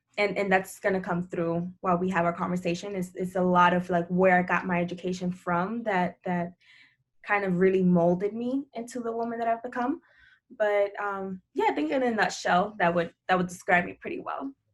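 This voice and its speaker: In a fairly even intonation, a woman speaks at a medium pitch against a quiet background. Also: moderate pace. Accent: Spanish. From Dominican Republic and Puerto Rico. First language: Spanish. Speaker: higher ed administrator and financial content creator. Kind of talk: interview podcast.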